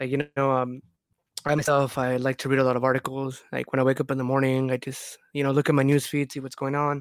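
A man speaks at a very fast pace in a medium pitch, his intonation monotone and flat, with a dry, close sound and no echo. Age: 20s. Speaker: podcast co-host. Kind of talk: casual chat. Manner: relaxed, casual.

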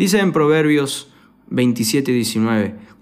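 A man with a Rioplatense accent speaks in a room with audible echo. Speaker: youth pastor. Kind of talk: sermon.

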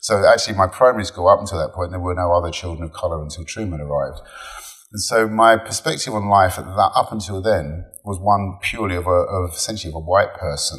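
Speaking at a very fast pace with an English accent, a man of fairly low pitch uses ordinary pitch variation and big swings in loudness. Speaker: digital executive. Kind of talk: interview. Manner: halting.

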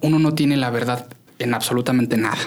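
Over music in the background, a man talks at a medium pitch with fairly even intonation. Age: 20s. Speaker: association secretary general, young politician. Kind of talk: casual chat. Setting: studio. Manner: halting.

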